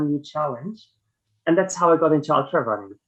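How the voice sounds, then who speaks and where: A man speaks at a fairly high pitch with a slight German accent. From Germany. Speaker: ultra runner. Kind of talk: podcast interview. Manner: hesitant, many fillers.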